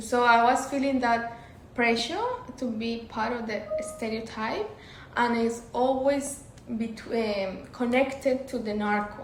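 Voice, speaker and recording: A woman with a Colombian accent speaks fairly slowly at a fairly high pitch, with noticeable background noise and audible room echo. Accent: Medellin Colombian. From Colombia, Medellin. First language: Spanish. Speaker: interview guest. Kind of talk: casual interview chat.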